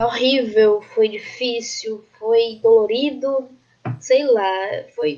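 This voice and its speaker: A woman talks very slowly in a fairly high voice. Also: ordinary pitch variation. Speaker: geology student. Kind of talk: casual chat. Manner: talkative, talks a lot.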